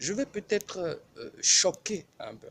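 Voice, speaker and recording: A man talks at a very slow pace with lively intonation. Noticeable background noise runs underneath. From Benin. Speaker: preacher. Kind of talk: sermon. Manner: animated.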